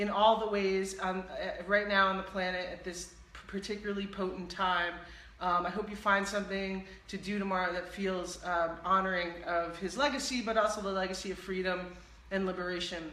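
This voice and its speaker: The pace is moderate. Noticeable background noise and audible room echo fill the recording. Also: woman. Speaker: live-stream show host and healing practitioner. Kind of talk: casual interview chat wrap-up. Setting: live stream broadcast. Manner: loud, like shouting.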